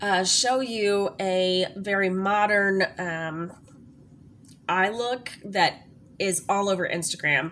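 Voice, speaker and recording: Keeping fairly even intonation, a woman at a medium pitch speaks at a very slow pace. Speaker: makeup tutorial youtuber. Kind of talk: tutorial. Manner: casual, chatty with fillers.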